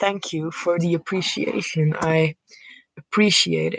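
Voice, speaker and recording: In a dry, close recording with no echo, a woman with a fairly low voice speaks at a fairly slow pace with a Dutch accent. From Netherlands. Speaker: streamer. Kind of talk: casual chat. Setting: live stream. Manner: talkative, rambling.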